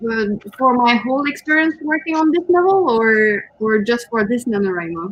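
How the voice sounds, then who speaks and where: Over noticeable background noise, a woman with a high pitch and very wide pitch swings keeps a moderate pace and very even loudness, with hardly any pauses. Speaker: co-host, writer. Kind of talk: casual livestream chat. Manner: hesitant, with fillers.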